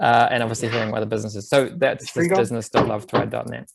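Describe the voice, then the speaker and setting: A man with a New Zealand accent speaks at medium pitch with ordinary pitch variation. His pace is very fast, and there is vocal fry. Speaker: bike advocacy program presenter. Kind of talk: webinar presentation. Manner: casual, filler-heavy.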